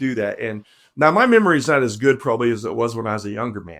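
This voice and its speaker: A man at a very fast pace with lively intonation. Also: very clean recording, silent background. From moved around US, born Oklahoma. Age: 70s. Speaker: preacher. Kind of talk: interview.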